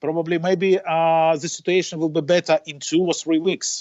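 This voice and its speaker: A man with a non-native accent speaks at a moderate pace in a high-pitched voice. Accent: non-native English, noted by himself. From western Ukraine. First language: Ukrainian or Russian. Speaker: racing driver. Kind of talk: interview. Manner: halting, many fillers.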